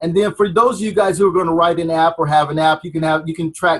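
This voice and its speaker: A man's high voice with ordinary pitch variation sounds dry and close, with no echo. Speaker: marketing trainer. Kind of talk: tutorial.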